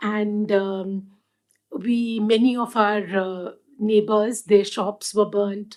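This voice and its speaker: Speaking in a Punjabi accent, a woman has a fairly high pitch. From India, Delhi. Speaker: activist and first responder. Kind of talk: panel talk, personal testimony. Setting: live event with audience. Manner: halting, many fillers.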